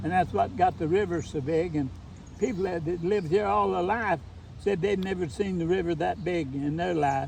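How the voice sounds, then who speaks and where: With an Appalachian accent, a man speaks at a moderate pace. His pitch is high and his intonation lively. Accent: Appalachian Kentucky. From eastern Kentucky, Letcher County. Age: 80s+. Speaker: retired teacher. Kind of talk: casual chat. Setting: outdoors.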